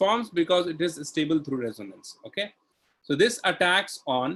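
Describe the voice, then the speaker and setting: His pitch moves through very wide swings. This man keeps to a fairly slow pace. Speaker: chemistry teacher. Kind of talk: online lecture.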